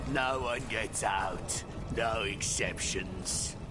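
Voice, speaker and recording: Over loud background noise, a man speaks in a put-on character voice at medium pitch and a very slow pace. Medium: machinima.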